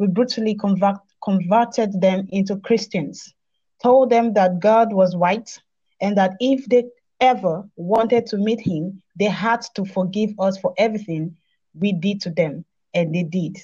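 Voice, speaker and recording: Against a quiet background, a woman speaks fairly slowly at medium pitch with ordinary pitch variation and a dark, mellow, somewhat breathy tone. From Nigeria. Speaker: online show host on African spirituality. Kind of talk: interview conversation.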